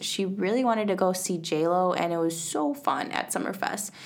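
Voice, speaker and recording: There is audible echo from the room. The woman talking has an American accent. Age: 20s. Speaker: podcast host. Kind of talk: casual chat.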